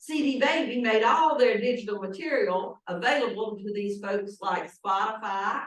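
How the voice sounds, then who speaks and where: Amid audible room echo, a woman with a fairly high pitch and ordinary pitch variation speaks at a moderate pace with hardly any pauses. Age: old. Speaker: pastor. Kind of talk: sermon.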